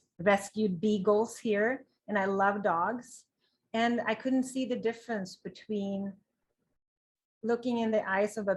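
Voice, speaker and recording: Somewhat breathy, a woman speaks at medium pitch in a Swedish accent. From Sweden. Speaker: vegan lifestyle blogger. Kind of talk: interview. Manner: animated.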